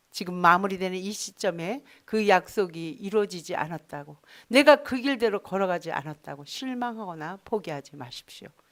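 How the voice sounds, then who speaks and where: A woman speaks at a moderate pace with lively intonation, hardly any pauses and big swings in loudness, on a very clean recording with a silent background. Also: medium pitch for a woman. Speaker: pastor. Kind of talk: sermon.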